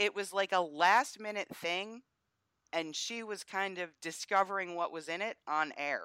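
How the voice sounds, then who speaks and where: Dry and close with no echo, the recording captures a woman with an American accent speaking at a fairly slow pace in a bright, sharp tone, with a medium pitch and ordinary pitch variation. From US Northeast. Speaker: political commentator. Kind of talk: casual chat.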